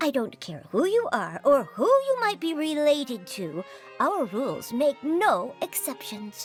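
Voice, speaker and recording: Clear music plays behind a female-sounding voice that uses a high-pitched put-on character voice at a fairly slow pace. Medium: fan dub. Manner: brusque, officious.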